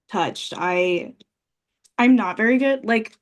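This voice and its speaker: A woman is speaking. Her voice is loud. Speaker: pageant titleholder and daycare teacher. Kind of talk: casual chat. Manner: halting in conversation.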